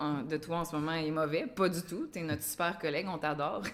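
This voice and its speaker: A woman has an unremarkable speaking voice with a fairly low pitch. Her intonation is fairly even. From Quebec. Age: 30s. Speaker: podcast host, school staff. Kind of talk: interview. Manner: casual.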